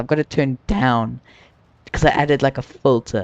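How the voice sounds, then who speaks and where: A man with an American accent speaks in a fairly high voice. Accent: viewers say British-sounding; he hears none. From US South. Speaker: flight sim streamer. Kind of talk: casual live stream chat.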